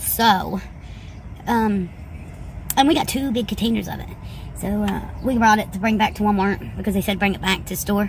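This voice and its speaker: At a fairly quick pace, a woman speaks with a dry sound with no echo and light background noise. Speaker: vlogger. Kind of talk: casual vlog chat. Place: car. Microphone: phone near.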